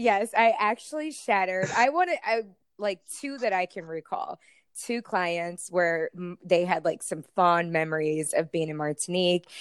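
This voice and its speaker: A woman of medium pitch at a moderate pace, in a dry, close sound with no echo. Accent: American. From US South, Florida (Tampa Bay). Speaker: escort and former podcast host. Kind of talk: casual interview chat.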